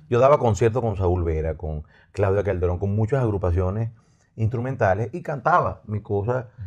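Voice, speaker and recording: The voice is somewhat breathy, with lively intonation at a moderate pace over a quiet background. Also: man, fairly low pitch for a man. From Venezuela, raised Los Teques, life in Maracaibo. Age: 50s. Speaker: musician. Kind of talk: casual chat. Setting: studio.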